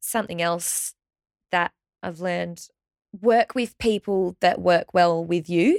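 Recorded very cleanly against a silent background, with a dry, close sound and no echo, a woman speaks very slowly in an Australian accent, fairly low-pitched with ordinary pitch variation and long, frequent pauses. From regional Victoria, Australia. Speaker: pilates trainer and studio owner. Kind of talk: interview.

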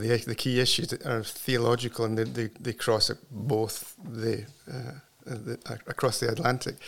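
A man speaks at a fairly slow pace with a Scottish accent. His pitch sits in the medium range. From Scotland. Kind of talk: interview conversation. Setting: studio.

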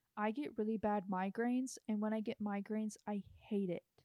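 An unremarkable speaking voice at a moderate pace, dry and close with no echo. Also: woman. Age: under 21 (young). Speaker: podcast co-host. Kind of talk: casual chat.

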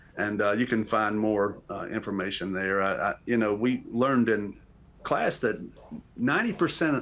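Speaking at a fairly slow pace, a man talks in a North Carolina accent. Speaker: graduate and civics teacher. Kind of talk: panel discussion. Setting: video call.

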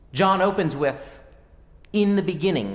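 Audible room echo surrounds a man's high voice. He speaks at a moderate pace. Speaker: preacher. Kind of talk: sermon.

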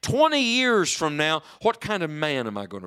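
A man speaks in a raised, projected voice with a bright, sharp tone. The recording is very clean with a silent background, and the sound is dry and close with no echo. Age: 40s. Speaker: evangelist preacher. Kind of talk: sermon. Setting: church with live congregation. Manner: animated.

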